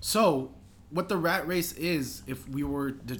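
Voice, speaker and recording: A man talks with vocal fry. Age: young. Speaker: podcast co-host and clothing shop worker. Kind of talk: casual chat.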